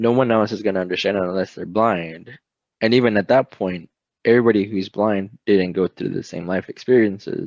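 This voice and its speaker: An ordinary speaking voice moves at a moderate pace with fairly even intonation. The sound is dry and close with no echo, over a quiet background. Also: man. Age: 20s. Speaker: college student. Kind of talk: testimony.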